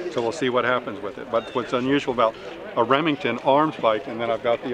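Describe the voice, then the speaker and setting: A man talks very fast with fairly even intonation, his voice dry and echo-free over noticeable background noise. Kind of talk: interview answer. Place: open country. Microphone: camera far.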